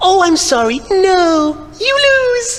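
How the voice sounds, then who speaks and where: Over light background noise, a woman in a squeaky, put-on character voice goes extremely high in pitch, with very wide pitch swings. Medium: video game. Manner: sweet, giggly, blissful.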